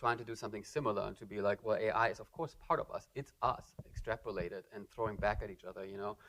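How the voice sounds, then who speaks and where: Speaking at a very fast pace with hardly any pauses, a man with a German accent shows big swings in loudness. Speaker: artist. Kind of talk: lecture Q&A. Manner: halting, many fillers.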